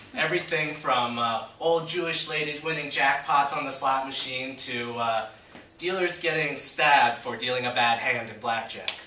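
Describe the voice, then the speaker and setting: Over noticeable background noise and audible room echo, a man with an American accent speaks at a medium pitch with ordinary variation. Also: moderate pace. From South Jersey, Atlantic City area (Margate). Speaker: university student. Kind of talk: class presentation speech. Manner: casual, filler-heavy.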